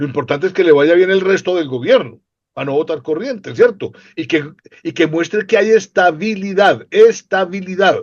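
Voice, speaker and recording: With lively intonation and a high pitch, a man talks at a moderate pace. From Colombia. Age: 60s. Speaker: political commentator. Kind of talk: interview conversation.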